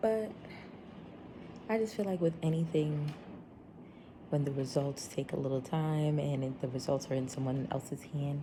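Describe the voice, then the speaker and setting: Quiet and very deep, a woman's low voice has ordinary pitch variation and long, frequent pauses. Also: moderate pace. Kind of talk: vlog. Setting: friend's home.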